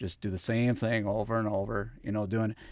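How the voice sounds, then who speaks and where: An unremarkable speaking voice talks at a fairly quick pace with an American accent. The recording is very clean, with a silent background. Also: man. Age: 40s. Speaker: farmer. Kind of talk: podcast interview. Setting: studio.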